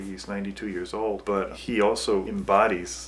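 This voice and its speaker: Against noticeable background noise, a man with a fairly low voice speaks at a moderate pace. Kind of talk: documentary interview answer.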